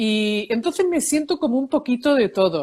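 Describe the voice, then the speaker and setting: A woman's high-pitched voice with very wide pitch swings, on a very clean recording with a silent background and a dry, close sound with no echo. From Seville, Spain and New York. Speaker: psychologist, emotions expert and author. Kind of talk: interview.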